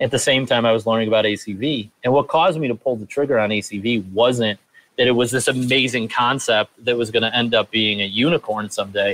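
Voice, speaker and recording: Speaking at a very fast pace with fairly even intonation, this voice carries an American accent. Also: man. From upstate New York, Rochester area. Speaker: startup co-founder. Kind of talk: interview.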